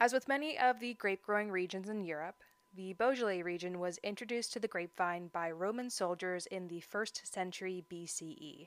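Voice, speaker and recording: The woman's voice sits at a medium pitch with ordinary pitch variation. She speaks at a fairly quick pace with big swings in loudness. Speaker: wine podcast host. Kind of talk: scripted narration. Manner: animated.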